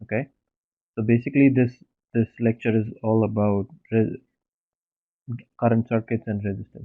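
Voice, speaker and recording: Soft-spoken, a man talks at a medium pitch in a monotone, flat intonation with long, frequent pauses. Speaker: teaching assistant. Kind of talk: online lecture. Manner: slow.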